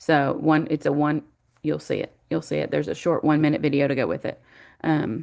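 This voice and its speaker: A woman's voice moves along at a fairly quick pace with a quiet background behind it. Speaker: college instructor. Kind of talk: online class welcome lecture. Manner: fast; casual, with many fillers.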